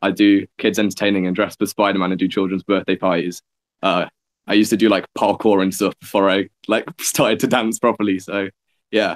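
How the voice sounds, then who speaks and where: A man with an English accent, fairly low in pitch, monotone and flat, at a fairly quick pace, in a dry, close sound with no echo on a very clean recording with a silent background. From England (Nottingham). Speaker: dance student and video maker. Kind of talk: casual chat.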